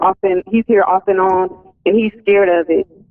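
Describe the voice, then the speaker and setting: A woman talks with an Alabama accent. Her pace is moderate. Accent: Alabama US Southern. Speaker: caller. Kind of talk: phone-in conversation. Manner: halting.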